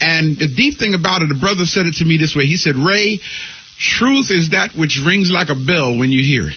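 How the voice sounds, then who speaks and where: Amid noticeable background noise, a man speaks at a fairly high pitch with lively intonation. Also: moderate pace. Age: 60s. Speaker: spiritual leader and radio teacher. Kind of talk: interview.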